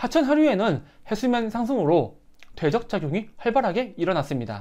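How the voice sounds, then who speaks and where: Moderate speed, with a very clean recording and a silent background. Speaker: teacher. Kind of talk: lecture.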